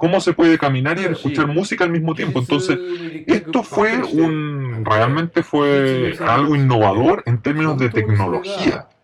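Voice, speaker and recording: Over noticeable background noise, a man talks at a fairly slow pace with a fairly high pitch and lively intonation. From Japan, Kitakyushu. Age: 50s. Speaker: design company executive. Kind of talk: interview.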